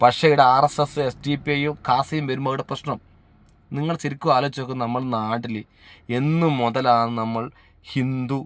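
A man with a plain, everyday voice speaks at a medium pitch and with fairly even intonation on a very clean recording with a silent background. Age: 40s. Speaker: social media commentator. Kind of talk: video monologue. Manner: earnest, repetitive exhortation.

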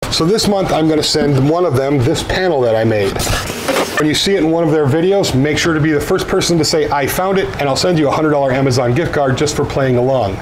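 With noticeable noise behind him, a man races through his words very fast, his pitch varying in an ordinary way. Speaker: woodworking channel host. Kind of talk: casual vlog chat. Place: workshop.

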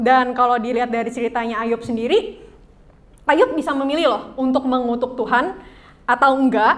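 A woman's high voice with ordinary pitch variation. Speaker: youth church speaker; speaker. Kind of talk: sermon; interactive game with audience. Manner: casual, code-switching Indonesian and English. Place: church. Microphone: mic too quiet at first; handheld.

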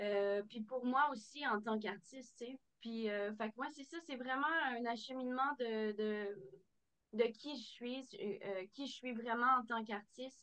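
A high, bright, sharp female voice at a fairly slow pace, with ordinary pitch variation and a quiet background. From Quebec City region, Quebec; Quebec. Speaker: country singer; guest. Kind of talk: interview. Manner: halting. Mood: warm, animated. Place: home room. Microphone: video call.

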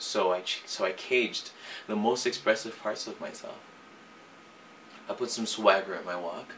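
A man at a moderate pace with long, frequent pauses, fairly even intonation and big swings in loudness, over light background noise. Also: fairly low pitch for a man. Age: young. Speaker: singer. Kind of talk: personal confession to camera. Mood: earnest, reflective, emotional. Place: home room.

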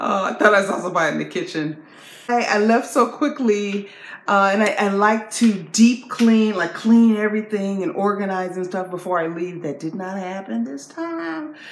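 A woman speaking at a moderate pace with lively intonation, in a room with audible echo. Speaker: video blogger. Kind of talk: casual chat. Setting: video to camera. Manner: animated. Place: home room. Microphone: phone near.

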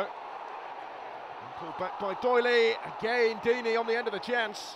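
A man talks in an animated tone with noticeable background noise behind him. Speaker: football commentator. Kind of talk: live sports commentary, match highlights voiceover. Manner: fast-paced, animated play-by-play; urgent, excitable at key moments.

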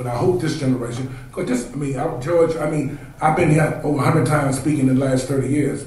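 Very fast speech with an American accent, fairly even intonation and audible room echo. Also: man. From Washington, D.C. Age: 50s. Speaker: consultant. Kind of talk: panel discussion. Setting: stage with audience. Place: hall.

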